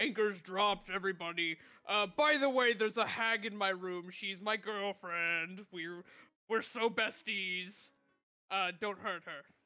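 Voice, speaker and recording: A put-on character voice at a middle pitch. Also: moderate pace. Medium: actual play. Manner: casual, offhand.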